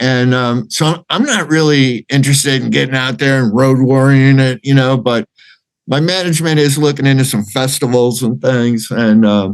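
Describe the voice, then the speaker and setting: A man with an unremarkable speaking voice, medium pitch, ordinary pitch variation, very even loudness, a moderate pace and an American accent. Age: 60s. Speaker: rock singer. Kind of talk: interview.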